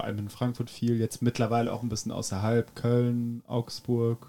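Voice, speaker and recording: A man's dark, mellow voice at a medium pitch and a moderate pace. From France, Paris. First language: French (speaking German). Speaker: drummer. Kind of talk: casual chat.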